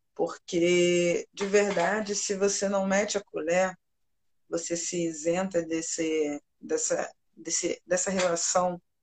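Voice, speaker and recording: A woman with a fairly low pitch speaks at a very slow pace in a monotone, flat intonation, the sound dry and close with no echo. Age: 40s. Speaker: nurse technician and jiu-jitsu teacher. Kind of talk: live stream interview.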